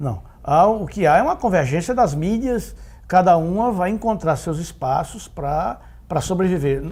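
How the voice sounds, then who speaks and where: This man talks with lively intonation and a high pitch. His pace is moderate. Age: 60s. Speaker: veteran journalist and advertising businessman. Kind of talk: interview. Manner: hesitant, many fillers.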